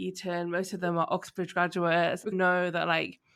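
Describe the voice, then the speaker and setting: With a southern English accent, a woman speaks fairly quickly in a medium pitch. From London, England. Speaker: podcast host. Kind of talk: interview conversation.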